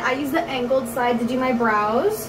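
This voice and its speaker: Against noticeable background noise, a woman speaks in a high pitch with ordinary pitch variation. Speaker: makeup vlogger. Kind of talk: casual makeup tutorial chat. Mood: relaxed, self-deprecating, laughing. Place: home room. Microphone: phone near.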